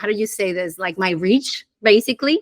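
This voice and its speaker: A woman speaks with a Spanish accent. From Dominican Republic. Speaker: conversion optimization director. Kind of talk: podcast interview. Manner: halting.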